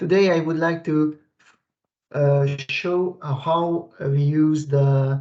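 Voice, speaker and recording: A man sounds somewhat breathy, with fairly even intonation. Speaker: technical expert. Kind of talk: software tutorial. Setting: video call. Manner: halting, many fillers. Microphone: weak internet connection.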